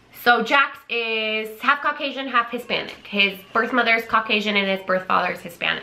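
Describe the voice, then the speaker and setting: Barely pausing, a woman talks at a fairly quick pace with a fairly high pitch, amid noticeable background noise. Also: ordinary pitch variation. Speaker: vlogger. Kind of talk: casual chat. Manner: loud.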